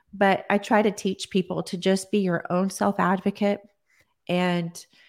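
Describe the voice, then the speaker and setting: A woman with a Texan accent, medium pitch, flat monotone delivery and a fairly slow pace, on a very clean recording with a silent background. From Texas, Odessa. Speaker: holistic nutritionist. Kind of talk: interview. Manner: halting.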